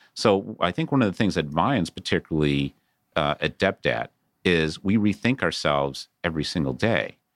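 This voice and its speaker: A man speaks at a moderate pace in a very deep, low voice with vocal fry and very even loudness. The recording is very clean, with a silent background and a dry, close sound with no echo. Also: lively intonation. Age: 50s. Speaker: debt investment company CEO and attorney. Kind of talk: interview. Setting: studio.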